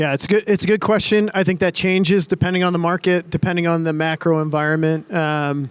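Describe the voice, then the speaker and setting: A man with an American accent talks at a very fast pace, with hardly any pauses. His pitch is high, his intonation fairly even, and his loudness very even. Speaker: real estate developer executive. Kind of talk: panel discussion.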